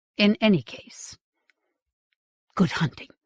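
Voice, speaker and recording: Using a put-on character voice, a woman sounds strained at a medium pitch, the sound dry and close with no echo. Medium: read story. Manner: cold, restrained.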